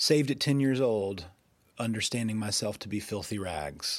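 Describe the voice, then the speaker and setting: The recording is very clean and the background silent. His pitch varies in an ordinary way as the man talks at a moderate pace. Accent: slight Southern US. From US South, Georgia (Rome, Floyd County). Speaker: podcast host, founder of a spiritual community. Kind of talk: personal testimony monologue. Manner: casual, with fillers and hesitations.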